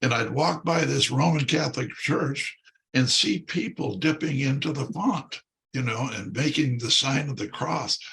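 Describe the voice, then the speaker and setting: This man has a fairly high voice with an American accent and some vocal fry. His pitch varies in an ordinary way. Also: moderate pace. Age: 80s+. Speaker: priest, former pro football player. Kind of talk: interview, personal testimony. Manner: halting, many fillers.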